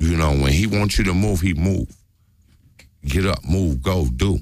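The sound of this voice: The man's pitch is low and his tone slightly mellow. He speaks at a fairly slow pace. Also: ordinary pitch variation.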